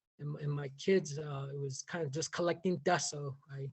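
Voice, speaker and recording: Somewhat breathy, a man speaks at a fairly high pitch in an American accent. He keeps a moderate pace and fairly even intonation. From Navajo Nation, US Southwest. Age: 50s. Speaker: contributing author, educator. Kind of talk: personal reflection at book launch. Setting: video call. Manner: halting, many repetitions and fillers.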